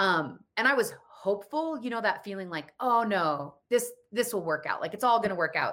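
With an American accent, a woman talks at a moderate pace in a bright, sharp tone and lively intonation. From Colorado. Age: 40s. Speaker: psychic and intuitive business coach. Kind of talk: interview.

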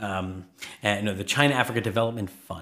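A man with a New York accent speaks at a fairly low pitch. His intonation stays fairly even. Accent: New York area American. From New York suburbs, US. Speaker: political science professor. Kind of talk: interview.

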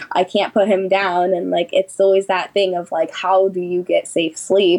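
In an American accent, a woman speaks at a moderate pace and medium pitch with monotone, flat intonation over noticeable background noise. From California, Sacramento. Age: 20s. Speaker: doula and mother. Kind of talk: interview, personal story.

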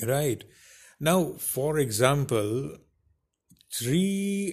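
Somewhat breathy, the voice moves at a very slow pace with lively intonation. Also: man, very clean recording, silent background. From India. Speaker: podcast host. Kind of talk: solo podcast monologue. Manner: hesitant, many fillers.

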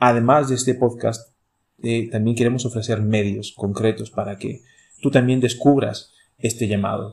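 A somewhat breathy man's voice carries fairly even intonation. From Chile, Santiago. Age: 30s. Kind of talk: casual chat.

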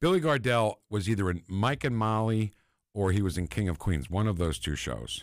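With an American accent, a man in an unremarkable speaking voice talks at a moderate pace, his fairly low pitch carrying lively intonation over a very clean recording and a silent background. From New Jersey. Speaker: former stand-up comedian. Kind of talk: casual chat.

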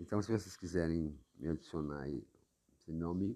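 Very deep and low, this man's voice has a dark, mellow tone. He speaks at a fairly slow pace. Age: 40s. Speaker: podcaster. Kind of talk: monologue. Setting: at home, seated in living room. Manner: halting.

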